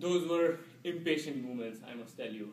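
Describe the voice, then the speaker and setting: The intonation stays fairly even amid audible room echo and noticeable background noise. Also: man. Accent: Indian. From India. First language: Indian language. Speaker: public speaking club member. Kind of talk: storytelling speech. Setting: club meeting with audience. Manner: halting.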